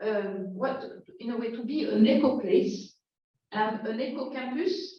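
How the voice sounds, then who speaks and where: In a French accent, a woman talks at a fairly slow pace with a fairly high voice and lively intonation, and the room echo is audible. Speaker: professor. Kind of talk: lecture. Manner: halting.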